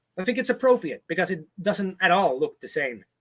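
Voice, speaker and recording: Raising and projecting his voice, a man talks at a fairly quick pace with a bright, sharp tone and very wide pitch swings. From southern Sweden. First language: Swedish (also Spanish and English from childhood). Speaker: vlogger on a houseboat. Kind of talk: live stream chat reading viewer comments. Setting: home on houseboat, live stream with webcam. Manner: casual, hesitant with fillers.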